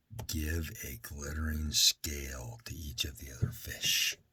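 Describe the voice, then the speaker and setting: A put-on character voice at a fairly slow pace. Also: man, very deep, low pitch for a man. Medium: read story. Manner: slow, solemn.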